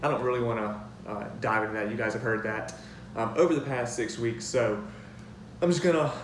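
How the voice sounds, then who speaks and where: A man at medium pitch talks at a fairly quick pace with ordinary pitch variation. Audible room echo and noticeable background noise fill the recording. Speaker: youth minister giving a sermon. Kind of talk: sermon. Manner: fast; hesitant, many filler words.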